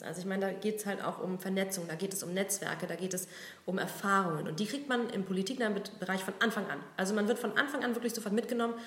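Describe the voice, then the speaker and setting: Amid noticeable background noise and audible room echo, a woman talks very fast at medium pitch with fairly even intonation. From Berlin. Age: 30s. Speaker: business association communications head. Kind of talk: casual interview.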